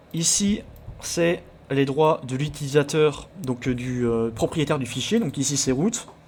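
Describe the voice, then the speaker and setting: A somewhat breathy man's voice, fairly high in pitch, at a very slow pace. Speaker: let's play video creator about hacking games. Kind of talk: let's play commentary with tutorial explanations. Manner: stumbling over words, many hesitations.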